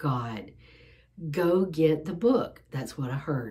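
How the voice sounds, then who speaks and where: Lively intonation marks a woman's speech over a quiet background. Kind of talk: casual vlog chat. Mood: earnest, emotional. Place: home room. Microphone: phone near.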